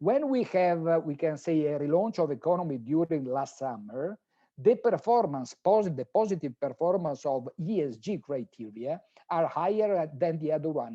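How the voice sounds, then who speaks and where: With an Italian accent, a man speaks at a moderate pace with a fairly high pitch and lively intonation. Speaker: professor, sustainable finance expert. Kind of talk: conference talk. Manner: halting.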